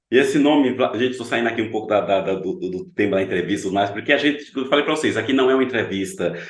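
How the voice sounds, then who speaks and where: Noticeable background noise and audible room echo surround the recording. A man talks with lively intonation. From Pernambuco, Brazil. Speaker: talk show host. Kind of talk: casual chat.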